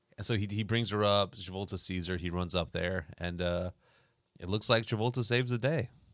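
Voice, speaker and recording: A man talks at a fairly quick pace in an unremarkable speaking voice with ordinary pitch variation, on a very clean recording with a silent background. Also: fairly low pitch for a man. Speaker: podcast host. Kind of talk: casual chat. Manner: joking, casual.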